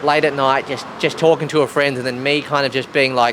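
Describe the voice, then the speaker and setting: Noticeable background noise sits behind a man with an Australian accent. His fairly high voice moves at a very fast pace with fairly even intonation. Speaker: podcast host. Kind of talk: casual chat.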